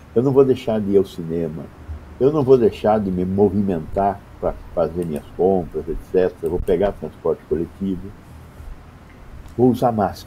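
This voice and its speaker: Speaking at a moderate pace with long, frequent pauses, a man uses a fairly low, somewhat breathy voice with ordinary pitch variation. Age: 70s. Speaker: public health doctor. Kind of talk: interview.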